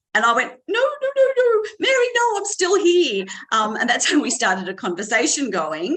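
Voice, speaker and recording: Her pitch swings very widely. The woman moves at a fairly quick pace. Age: 60s. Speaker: weight loss client. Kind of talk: testimony. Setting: video call from hospital.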